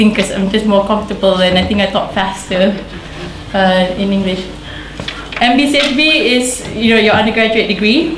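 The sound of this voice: The speech keeps a moderate pace with ordinary pitch variation. Room echo can be heard. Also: woman, medium pitch for a woman.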